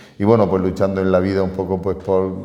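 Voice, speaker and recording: Noticeable background noise surrounds a man talking at a fairly quick pace. His pitch is very deep and low. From Spain, Murcia region (Totana). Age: 60s. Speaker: teacher and local historian, honorary Holy Week figure. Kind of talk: radio interview.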